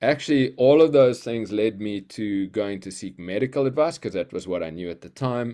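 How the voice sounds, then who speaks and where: A dark, mellow tone with a South African accent, lively intonation and a moderate pace over a quiet background. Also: man. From South Africa, Cape Town. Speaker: healer and creativity coach. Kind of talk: casual interview. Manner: halting, many fillers.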